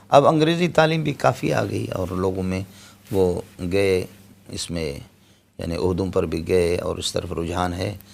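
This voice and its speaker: The voice makes very wide pitch swings. The recording is very clean, with a silent background. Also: man, very deep, low pitch for a man. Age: 50s. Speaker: Islamic scholar. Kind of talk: interview.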